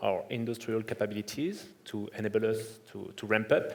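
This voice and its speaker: Intonation stays fairly even at a moderate pace. Room echo can be heard. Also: man. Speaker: defence industry executive. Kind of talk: panel discussion. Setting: conference stage.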